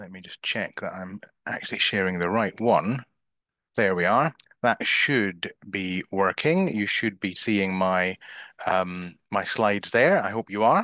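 A man at a fairly slow pace and fairly low pitch, bright, sharp tone, ordinary pitch variation, big swings in loudness, quiet background. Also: dry sound with no echo. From Scotland. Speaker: business coach; marketing coach. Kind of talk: online masterclass / webinar. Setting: video call (Zoom live stream) from a bedroom. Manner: hesitant filler words (um, uh). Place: home room. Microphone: headset.

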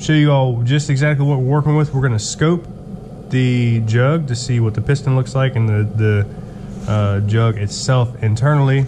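A man talks with fairly even intonation over noticeable background noise. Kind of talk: casual vlog chat. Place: garage. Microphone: phone near.

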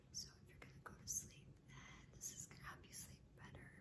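A woman's whispering at a moderate pace. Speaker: hypnosis/ASMR channel host. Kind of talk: whispered ASMR hypnosis session to camera.

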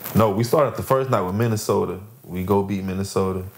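A man with an American accent speaks at a fairly low pitch. Light background noise can be heard. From Lakeland, Florida; Florida. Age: 20s. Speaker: professional basketball player; podcast guest. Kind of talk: casual chat. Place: home room.

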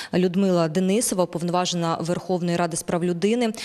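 A woman talks with fairly even intonation. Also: quiet background. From western Ukraine, near Lviv; Ukraine. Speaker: journalist, news presenter; TV host. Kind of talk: TV news and interview. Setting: studio. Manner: halting in Italian. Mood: serious, calm. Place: studio. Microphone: handheld.

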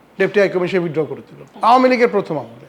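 The voice rises and falls in a lively way over clearly audible background noise. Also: man. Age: 70s. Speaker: former ambassador. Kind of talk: interview.

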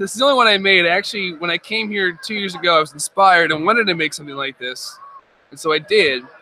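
This man talks very fast with a high pitch and an American accent, his loudness swinging widely. Pitch varies in an ordinary way, with light background noise and a dry sound free of echo. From Nazareth, Pennsylvania. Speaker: hobbyist builder. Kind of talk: casual interview at convention. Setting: live stream at fan convention. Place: hall. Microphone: studio mic.

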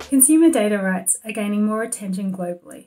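A woman speaks at a fairly quick pace with ordinary pitch variation. Her tone is dark and mellow, and somewhat breathy. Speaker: competition policy expert. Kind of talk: institutional policy briefing to camera. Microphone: webcam.

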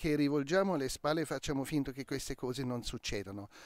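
With a German accent, a man with a fairly high voice sounds dry with no echo against a quiet background. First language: German (speaking Italian). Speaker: crime novelist; interviewee. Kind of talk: interview. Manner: halting. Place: garden. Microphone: handheld.

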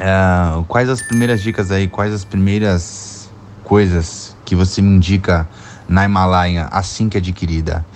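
Over light background noise, a man with a plain, everyday voice speaks at a fairly slow pace with a fairly low pitch and fairly even intonation. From São Paulo state, Brazil. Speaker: viewer sending question. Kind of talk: recorded viewer question. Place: home room.

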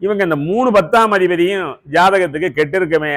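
A man speaks with lively intonation. He has a normal speaking voice. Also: very clean recording, silent background. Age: 60s. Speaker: astrologer. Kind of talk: lecture.

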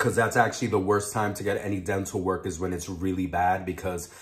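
The voice belongs to a man. It is somewhat breathy. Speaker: mukbang vlogger. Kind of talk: casual vlog chat. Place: home room. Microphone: phone near.

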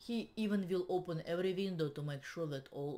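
A woman speaks with a Russian accent. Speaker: realtor. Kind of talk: tutorial. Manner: halting. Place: home room. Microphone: webcam.

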